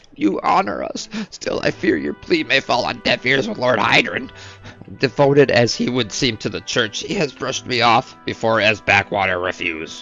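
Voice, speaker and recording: Using a put-on character voice at a medium pitch, a man speaks at a moderate pace with clear music in the background. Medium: game stream. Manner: deferential, formal.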